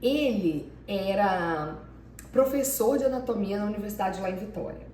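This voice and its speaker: Lively intonation carries the speech at a moderate pace, with audible room echo. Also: woman, medium pitch for a woman. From Brazil, Minas Gerais. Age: 40s. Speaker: PhD student. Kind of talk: interview. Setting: filmed by her husband.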